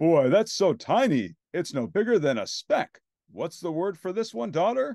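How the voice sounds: Putting on a character voice, a man speaks high for a man with vocal fry, a dark, mellow tone and big pitch swings, recorded dry and close with no echo. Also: moderate pace.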